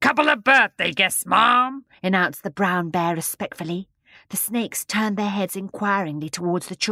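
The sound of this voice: Against a quiet background, pitch varies in an ordinary way through an unforced reading voice.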